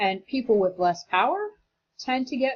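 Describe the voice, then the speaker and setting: A somewhat breathy woman's voice. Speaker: teacher. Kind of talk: lecture. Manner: fast; casual, conversational.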